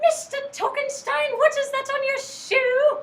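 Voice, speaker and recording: A woman uses a put-on character voice that is extremely high and squeaky, with fairly even intonation. She speaks at a fairly slow pace, and there is a slight echo. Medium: stage play. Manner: officious, prim.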